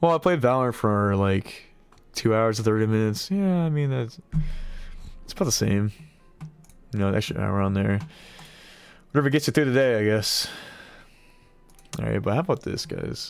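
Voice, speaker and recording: Over music in the background, a man talks at a moderate pace with lively intonation, a medium pitch and long, frequent pauses. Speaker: streamer. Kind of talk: casual chat. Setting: live stream. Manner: rambling, casual.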